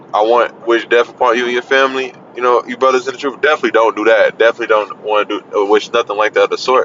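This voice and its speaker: Over noticeable background noise, a man speaks at a very fast pace with hardly any pauses. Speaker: religious video preacher. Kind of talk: casual sermon monologue. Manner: halting, hesitant.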